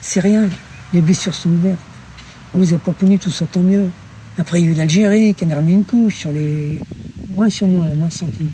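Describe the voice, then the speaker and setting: Quick-paced speech comes from a man with a high pitch. His pitch variation is ordinary, and the pace is fairly quick. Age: 70s. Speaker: older passer-by interviewed in the street. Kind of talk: casual street conversation.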